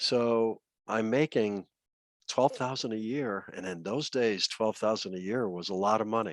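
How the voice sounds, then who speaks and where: Man with a normal speaking voice and an American accent, medium pitch, ordinary pitch variation, a fairly slow pace, a dry, close sound with no echo and a quiet background. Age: 60s. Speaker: retired money manager and trader. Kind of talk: interview.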